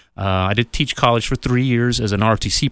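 A man with an unremarkable speaking voice talks at a moderate pace with fairly even intonation. The recording is very clean, with a silent background. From US, small rural town. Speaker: county commissioner and mayoral candidate. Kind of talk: radio interview.

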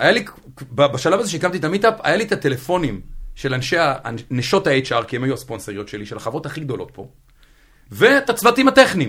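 With very wide pitch swings and big swings in loudness, a man talks at a fairly quick pace broken by long, frequent pauses. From central Israel. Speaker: Haredi DevOps engineer. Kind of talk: casual interview. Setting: studio.

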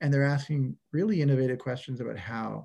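A man speaks in a dark, mellow tone. His somewhat breathy voice moves at a fairly quick pace. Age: 40s. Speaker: construction data executive and leadership coach. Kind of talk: interview conversation. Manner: hesitant with frequent repetitions.

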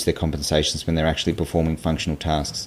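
With an Australian accent, a man talks at a very fast pace in a very deep, low pitch. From Tasmania, Australia (Hobart). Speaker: physiotherapist and PhD researcher. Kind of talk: interview.

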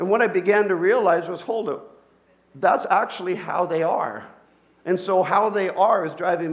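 A high-pitched man speaks at a moderate pace in an animated tone with ordinary pitch variation. Audible room echo surrounds his voice. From Colombia. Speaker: pastor. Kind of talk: sermon.

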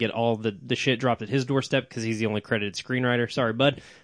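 A medium-pitched man talks with an American accent. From Oklahoma. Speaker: film podcast co-host. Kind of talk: casual chat. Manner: animated.

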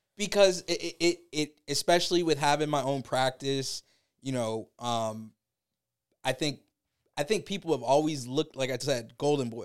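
A man with a normal speaking voice and an American accent talks at a moderate pace, fairly high in pitch, with ordinary pitch variation. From Tampa, Florida. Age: 30s. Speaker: lawyer and rapper. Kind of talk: interview.

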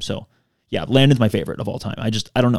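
A very fast pace from a man at medium pitch, with fairly even intonation and a dry, close sound with no echo. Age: 30s. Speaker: podcast host. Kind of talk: casual chat. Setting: home studio.

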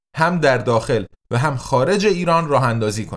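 An ordinary speaking voice from a man, fairly high in pitch with ordinary pitch variation and a moderate pace, on a very clean recording with a silent background. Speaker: podcast host, translator and publisher. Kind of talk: scripted narration.

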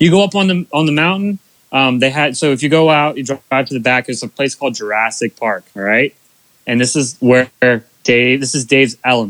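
An ordinary speaking voice with an American accent moves at a fairly quick pace with ordinary pitch variation, in a dry, close sound with no echo. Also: man, medium pitch for a man. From US, Bainbridge area. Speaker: racing media content creator. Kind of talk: casual chat.

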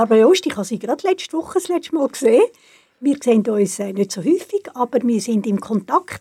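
A woman speaks with a dark, mellow tone and a high pitch, her voice swinging very widely, in a dry, close sound with no echo. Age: 70s. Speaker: retired cultural organizer. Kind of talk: interview.

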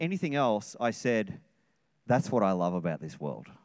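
A man with an Australian accent, his pitch swinging very widely. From Australia (Sydney). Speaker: senior pastor. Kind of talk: sermon. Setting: church service with congregation.

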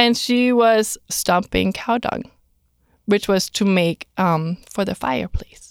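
A woman at a medium pitch speaks at a very slow pace with a slight non-native accent and ordinary pitch variation, in a very clean recording with a silent background and a dry, close sound with no echo. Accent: slight foreign accent in English. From outside the US. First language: not English. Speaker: career counselor. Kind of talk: casual interview. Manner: animated.

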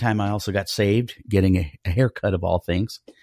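A man with an American accent, a dark, mellow tone, fairly low pitch, fairly even intonation and a fairly quick pace, in a very clean recording with a silent background and a dry, close sound with no echo. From Colorado Springs, US. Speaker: ministry director serving the homeless. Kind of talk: casual interview.

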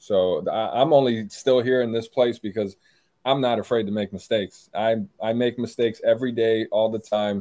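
Delivered at a moderate pace with fairly even intonation, this is an ordinary speaking voice. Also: man, medium pitch for a man. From Maryland, US (born in Brazil). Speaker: gun YouTuber and builder. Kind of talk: casual interview chat. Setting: podcast studio or video call.

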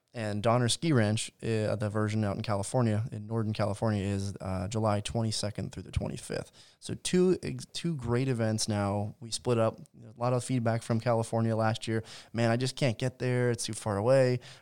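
A man with a plain, everyday voice and an American accent, medium pitch, a fairly quick pace with hardly any pauses, and big swings in loudness, in a very clean recording with a silent background. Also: ordinary pitch variation. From US South, Georgia. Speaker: podcast co-host, marketing director. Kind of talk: casual chat.

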